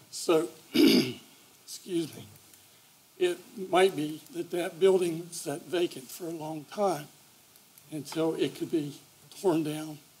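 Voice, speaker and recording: Long, frequent pauses break up very slow speech heard over noticeable background noise. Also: man, high pitch for a man. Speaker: applicant's agent at zoning hearing. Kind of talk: public hearing testimony. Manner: hesitant, many fillers.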